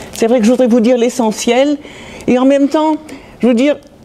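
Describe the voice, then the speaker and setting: Speaking at a very fast pace, a woman is heard over noticeable background noise. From France (Metz, Lorraine). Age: 70s. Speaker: Holocaust survivor. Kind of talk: testimony. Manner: halting.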